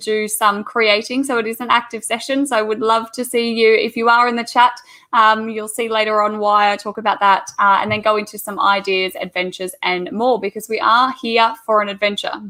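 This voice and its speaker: A bright, sharp tone with an Australian accent. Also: woman. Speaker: teacher. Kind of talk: online presentation.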